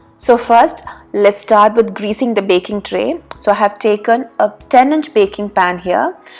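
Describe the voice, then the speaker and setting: A woman speaks slowly, in a Keralan accent, over noticeable background noise. Her fairly high voice shows ordinary pitch variation. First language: Malayalam. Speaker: cooking youtuber. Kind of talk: cooking tutorial.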